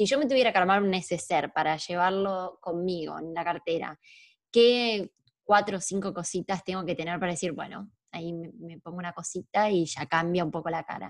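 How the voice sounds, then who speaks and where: A woman with an Argentine accent, fairly low in pitch, with ordinary pitch variation and big swings in loudness, on a very clean recording against a silent background. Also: moderate pace. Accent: Rioplatense Argentine Spanish. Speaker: podcast host. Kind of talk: casual interview.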